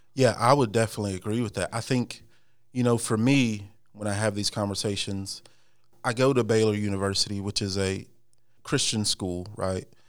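An American accent comes from a man with an unremarkable speaking voice, fairly low in pitch and fairly even in intonation. The recording is very clean, with a silent background. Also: fairly quick pace. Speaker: former corrections officer, church member. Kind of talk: casual interview.

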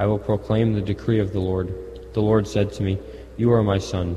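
Fairly low-pitched male voice at a moderate pace, fairly even intonation, noticeable background noise. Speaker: Mass lector. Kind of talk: scripture reading aloud.

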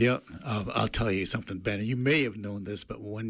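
A man has an unremarkable speaking voice with a fairly low pitch and fairly even intonation. The recording is very clean, with a silent background. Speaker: radio co-host. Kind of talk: radio talk show. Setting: studio.

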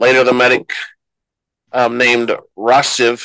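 Moderate pace, with a dry, close sound and no echo. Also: man. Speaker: podcast host. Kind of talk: casual podcast chat with recap.

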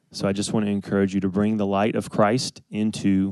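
His pitch fairly low and his intonation flat and monotone, a man talks at a fairly quick pace. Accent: Southern US. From US South, Athens, Georgia. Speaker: church member sharing testimony. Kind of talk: testimony. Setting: stage with audience.

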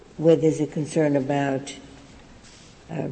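Fairly slow talking against noticeable background noise. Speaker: judge questioning counsel. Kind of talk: courtroom questioning. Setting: courtroom.

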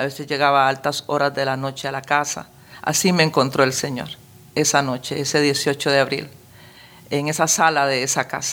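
A woman's very deep, low voice at a moderate pace, flat and monotone in intonation. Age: 60s. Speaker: pastor. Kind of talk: testimony.

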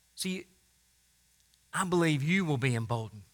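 Projecting a raised voice with a bright, sharp tone, a man speaks at a moderate pace with very wide pitch swings. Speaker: pastor. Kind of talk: sermon with fervent, extended prayer. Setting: church. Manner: earnest, impassioned, pleading; halting, with frequent fillers.

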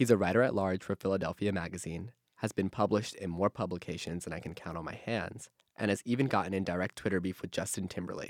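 A man at a very fast pace, with ordinary pitch variation, in dry, close sound with no echo. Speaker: college podcast host. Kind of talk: casual chat. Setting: studio. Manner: animated.

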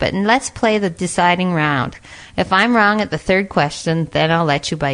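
Here a natural reading voice shows ordinary pitch variation.

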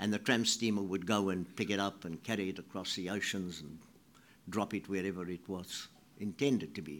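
A man with a South African accent speaks at a fairly low pitch and a moderate pace. The recording is very clean, with a silent background. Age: 80s+. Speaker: writer giving a talk. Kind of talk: speech. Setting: stage with audience.

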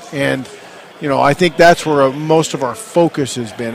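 A man's ordinary pitch variation and moderate pace come through noticeable background noise. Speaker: football coach. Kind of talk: interview.

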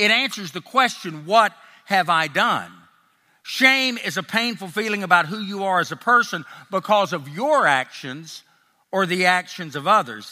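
This man talks in an American accent at a moderate pace, his high-pitched voice raised and projected, with a bright, sharp tone and lively intonation. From US South (Tennessee and Texas). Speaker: ex-pastor sharing testimony. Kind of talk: testimony. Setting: live event with audience. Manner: sincere, confessional.

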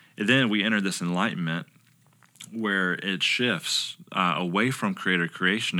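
With an American accent, a man speaks in a bright, sharp tone with ordinary pitch variation on a very clean recording with a silent background. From South Carolina, Lugoff. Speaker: pastoral resident, former missionary. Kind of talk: casual chat.

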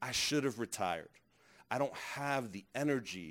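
On a very clean recording with a silent background, a man with an American accent and a normal speaking voice talks at a moderate pace with ordinary pitch variation. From Brooklyn, New York. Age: 30s. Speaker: pastor. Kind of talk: workshop talk.

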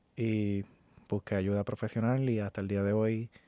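A man with a fairly low pitch and a dark, mellow tone speaks in a monotone, flat way, heard with a dry, close sound with no echo on a very clean recording with a silent background. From Puerto Rico. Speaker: community advocate and shooting survivor. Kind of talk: interview. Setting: studio.

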